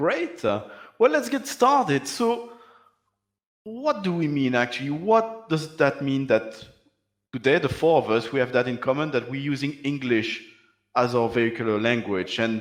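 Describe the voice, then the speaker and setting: Here a man talks at a moderate pace in a fairly high pitch. His voice makes very wide pitch swings. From Belgium. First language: French. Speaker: panel moderator. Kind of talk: panel discussion.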